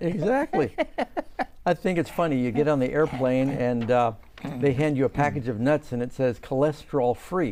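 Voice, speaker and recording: A man at a fairly high pitch and moderate pace, ordinary pitch variation, a plain, everyday voice. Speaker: studio interviewer, church member. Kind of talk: interview host talk. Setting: studio.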